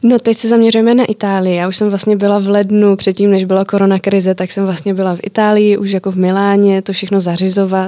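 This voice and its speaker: Barely pausing, a woman talks at a very fast pace in a monotone, flat intonation. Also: medium pitch for a woman. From Czech Republic. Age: 20s. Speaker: entrepreneur. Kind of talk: interview.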